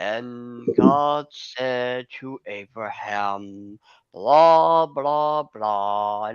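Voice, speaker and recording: Putting on a character voice, a man speaks at a medium pitch. He goes at a very slow pace. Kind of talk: sermon-like. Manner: monotone, droning.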